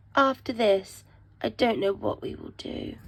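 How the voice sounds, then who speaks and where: A woman does a put-on character voice, raspy and fairly high in pitch. She speaks at a moderate pace. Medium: read story.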